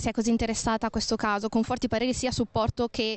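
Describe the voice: A woman at a fast pace with a fairly high pitch and fairly even intonation, in dry, close sound with no echo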